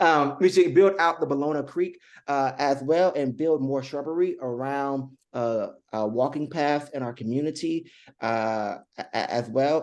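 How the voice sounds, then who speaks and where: A man talks in an ordinary speaking voice, fairly high in pitch with ordinary pitch variation. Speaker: city council candidate and pastor. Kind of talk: candidate interview.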